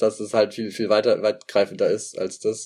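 In a very clean recording with a silent background, a man talks very fast at a fairly low pitch. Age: 20s. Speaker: sociology student. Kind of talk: casual interview. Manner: hesitant, many fillers.

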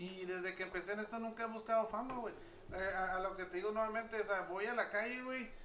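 A man with a high pitch speaks very fast in a raised, projected voice with fairly even intonation, while noticeable background noise and audible room echo fill the recording. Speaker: barber and urban events reporter. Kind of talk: casual chat.

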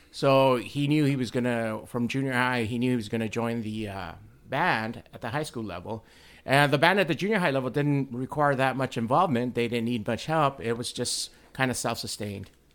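In a very clean recording with a silent background, a man with a plain, everyday voice talks at a fairly quick pace, his medium pitch showing ordinary variation. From Mexico, raised in US. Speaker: band booster parent. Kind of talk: casual chat.

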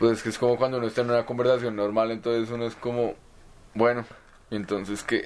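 Speaking very fast, a man delivers his words in a monotone, flat intonation. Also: medium pitch for a man. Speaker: podcast co-host, psychology graduate. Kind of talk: casual chat.

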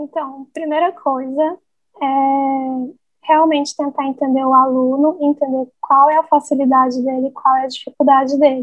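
At a fairly slow pace, a woman speaks in a high voice with fairly even intonation. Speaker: English teacher. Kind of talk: casual interview.

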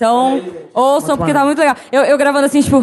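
Her voice, a woman's, is high in pitch. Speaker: podcaster and event hostess. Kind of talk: live podcast recording, casual chat. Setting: stage with audience.

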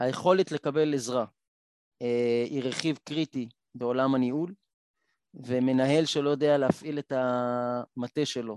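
A man at a medium pitch with fairly even intonation, a very slow pace and long, frequent pauses, in a dry, close sound with no echo and a quiet background. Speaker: blind triathlete and motivational speaker. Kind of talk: panel discussion.

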